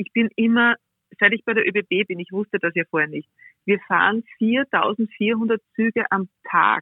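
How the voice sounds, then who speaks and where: A woman with a plain, everyday voice talks at a fairly slow pace with ordinary pitch variation. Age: 40s. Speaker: railway executive. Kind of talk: interview. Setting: remote call-in.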